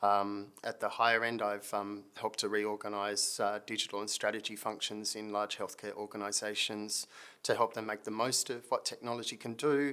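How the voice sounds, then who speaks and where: Delivered at a moderate pace with hardly any pauses, the man's fairly low voice has a bright, sharp tone and a monotone, flat intonation. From Britain. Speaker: consulting firm managing director. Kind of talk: video introduction. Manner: hesitant, many fillers.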